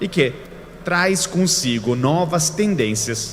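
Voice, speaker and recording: A man with an Italian accent speaks with lively intonation, with noticeable background noise and audible room echo. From Italy. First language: Italian (speaking Portuguese). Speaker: keynote speaker. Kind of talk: lecture.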